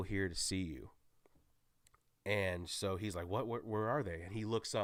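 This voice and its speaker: With an animated tone, a man talks at a moderate pace, his pitch fairly low and its variation ordinary. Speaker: YouTuber movie reviewer. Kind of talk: solo movie spoiler recap. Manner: stumbling over words.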